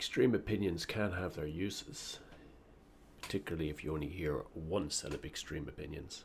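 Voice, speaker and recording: The voice is somewhat breathy, with an Irish accent. It moves at a moderate pace. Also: man. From Ireland. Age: middle-aged. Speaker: political commentator. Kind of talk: opinion monologue.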